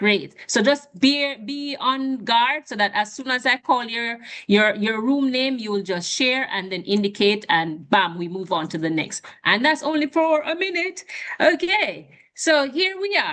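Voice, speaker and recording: A woman with a high pitch speaks at a fairly slow pace. Her pitch swings very widely. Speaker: webinar moderator. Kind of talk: online session moderation.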